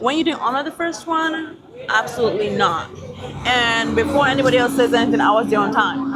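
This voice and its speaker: Over crowd noise in the background and audible room echo, a woman with an American accent talks at a fairly quick pace in a high pitch, with ordinary pitch variation and very even loudness. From Nigeria. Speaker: travel vlogger. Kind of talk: casual vlog talk to camera. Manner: animated.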